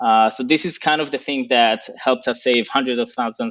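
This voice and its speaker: Over a quiet background, a man with a non-native accent speaks at a moderate pace and medium pitch, with fairly even intonation. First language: not English. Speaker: operations executive. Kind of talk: interview. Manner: hesitant with fillers.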